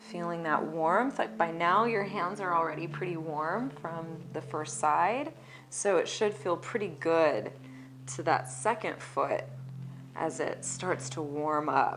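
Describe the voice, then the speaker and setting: Against noticeable background noise, a woman with a fairly low pitch speaks at a very slow pace, her intonation lively. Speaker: massage therapist. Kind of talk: instructional massage demonstration, calm talk to camera. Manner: soft-spoken, relaxed.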